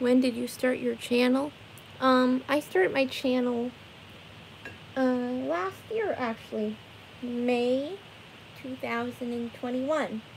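Speaking very slowly, a woman uses a high pitch with ordinary pitch variation and long, frequent pauses. Light background noise sits behind her voice. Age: 20s. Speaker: live streamer painting for viewers. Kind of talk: casual live stream chat with viewers. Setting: live stream from her bedroom. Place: home room. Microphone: phone near.

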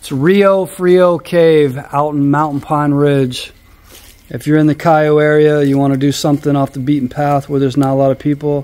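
A man talks at a moderate pace. His intonation is monotone and flat. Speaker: travel vlogger. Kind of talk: casual vlog chat. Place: forest. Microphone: phone near.

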